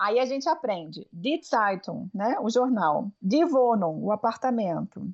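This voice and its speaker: A woman talks at a fairly slow pace in a fairly high pitch, her loudness very even. Her pitch swings very widely. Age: 30s. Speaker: language teacher and linguistics lecturer. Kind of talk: interview.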